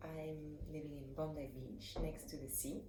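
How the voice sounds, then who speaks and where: A woman speaks with a French accent in a very deep, low pitch. Audible room echo and noticeable background noise surround her voice. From French West Indies, Saint Barthélemy. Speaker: ceramics teacher. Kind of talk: tutorial.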